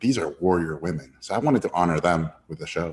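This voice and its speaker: A man speaks in a Spanish accent. His intonation is lively. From Mexico City and Tijuana, Mexico. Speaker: animation director. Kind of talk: interview. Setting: live online audience.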